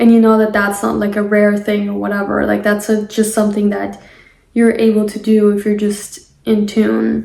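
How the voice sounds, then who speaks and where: A woman with a non-native accent talks at a moderate pace, with audible room echo. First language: not English. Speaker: spiritual podcaster. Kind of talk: casual monologue. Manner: halting.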